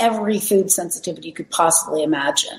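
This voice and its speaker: Noticeable background noise is present. A woman does the talking. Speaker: wellness center operator. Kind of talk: presentation with testimonies. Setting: video call from outdoor balcony.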